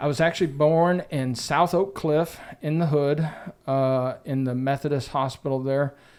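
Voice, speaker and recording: A man with a Texan accent speaks at a fairly high pitch for a man, his intonation fairly even, on a very clean recording with a silent background. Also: moderate pace. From West Central Texas. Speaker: real estate agent. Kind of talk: podcast interview.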